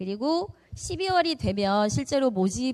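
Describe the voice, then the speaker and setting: Her dark, mellow voice swings very widely in pitch as this woman speaks. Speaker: high school department head teacher. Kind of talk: school information session presentation. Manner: fast.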